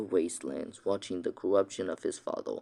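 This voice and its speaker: A man speaks quietly. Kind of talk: fantasy story reading. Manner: quiet, hushed; stammering, hesitant.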